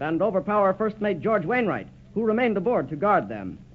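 A man's dramatic tone, lively intonation and very fast pace. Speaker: radio announcer. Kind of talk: old-time radio drama announcer narration. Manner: dramatic, announcer-style, formal.

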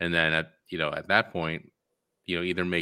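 On a very clean recording with a silent background, a man speaks in a very deep, low pitch with a bright, sharp tone. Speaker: podcast co-host. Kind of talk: casual news discussion.

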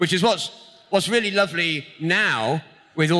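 Over noticeable background noise, a man with an English accent speaks at a fairly quick pace with ordinary pitch variation. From Britain. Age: 40s. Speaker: video game composer. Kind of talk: stage interview. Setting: stage with audience.

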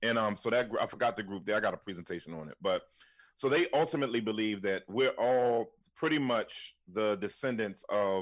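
Speaking very fast with an American accent, a man shows ordinary pitch variation on a very clean recording with a silent background. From Washington, D.C. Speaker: pastor and author. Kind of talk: podcast interview.

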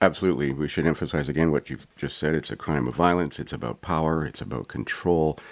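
A man speaks very fast with a very deep, low pitch and vocal fry. The recording is very clean, with a silent background. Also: fairly even intonation. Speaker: podcast host. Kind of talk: scripted intro and interview.

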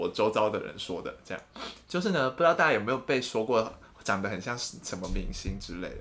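A man at medium pitch, with very wide pitch swings and a fairly quick pace. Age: 20s. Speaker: podcast co-host. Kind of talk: casual chat. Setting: home recording in his room.

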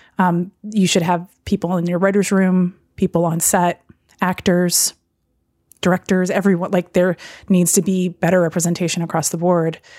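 Her dark, mellow voice sits fairly low as this woman speaks at a moderate pace in a monotone, flat way, on a very clean, dry, close recording with a silent background and no echo. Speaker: podcast host. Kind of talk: interview.

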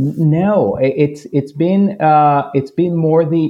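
A man with a Spanish accent. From Colombia. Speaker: physician. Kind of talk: interview.

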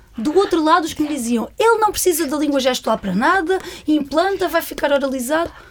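A woman speaks at a fairly quick pace with a high pitch and lively intonation. Noticeable background noise is present. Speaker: nurse and parent of deaf child. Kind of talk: interview conversation. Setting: studio.

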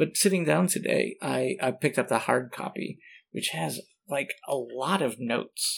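A man's medium-pitched voice with an American accent, vocal fry and very wide pitch swings at a moderate pace. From Michigan, US. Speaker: professor. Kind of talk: casual chat. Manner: halting.

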